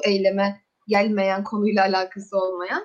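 A woman talks at a moderate pace. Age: 20s. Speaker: student activist. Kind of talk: radio interview.

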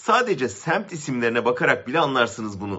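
A plain, everyday voice moves along at a moderate pace. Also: man. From Ankara, Turkey. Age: 60s. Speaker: columnist. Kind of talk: reading aloud a personal essay.

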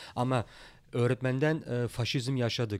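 Recorded dry and close with no echo and a silent background on a very clean track, a man speaks at a medium pitch and a moderate pace. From Germany, Turkish family. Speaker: professional boxer. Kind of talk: interview. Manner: hesitant, many fillers.

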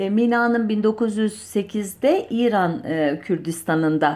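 A woman speaks very slowly at a medium pitch. Her intonation is lively and her tone dark and mellow. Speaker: radio history program host. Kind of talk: radio talk on history. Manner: halting with many filler sounds.

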